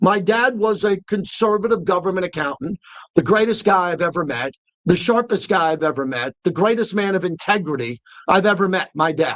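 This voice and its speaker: Delivery is animated and fairly quick, with an American accent and lively intonation. The background is quiet. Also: man, high pitch for a man. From New York. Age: 60s. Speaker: sports radio host. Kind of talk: radio monologue.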